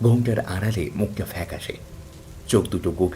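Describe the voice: This recording is plain reading aloud.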